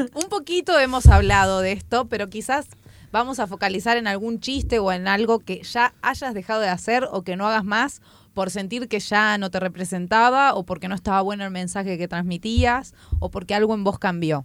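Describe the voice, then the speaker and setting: On a very clean recording with a silent background, a woman talks at a moderate pace with a medium pitch and a plain, everyday voice. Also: ordinary pitch variation. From Chubut, Argentina. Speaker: podcast co-host, comedian. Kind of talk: casual chat. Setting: radio studio.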